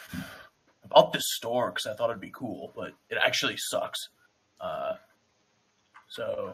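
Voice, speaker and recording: Putting on a raspy character voice, a man speaks at an extremely high pitch and a fairly slow pace, with long, frequent pauses. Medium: actual play. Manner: casual, haggling.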